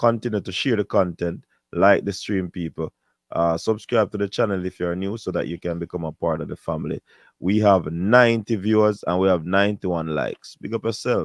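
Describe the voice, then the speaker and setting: With a Jamaican accent, a man talks at a fairly quick pace in a very deep, low voice with ordinary pitch variation. The background is quiet, and the sound is dry and close with no echo. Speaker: sports show host. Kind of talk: live stream sign-off. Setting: live stream.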